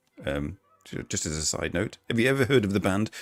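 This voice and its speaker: Music plays behind a man talking at a fairly quick pace. The sound is dry and close, with no echo. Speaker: live-stream vlogger. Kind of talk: casual chat. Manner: hesitant, many fillers.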